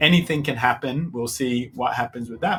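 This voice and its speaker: This man has a medium-pitched voice, fairly even intonation and an unremarkable speaking voice. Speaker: political reaction video host. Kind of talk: reaction commentary.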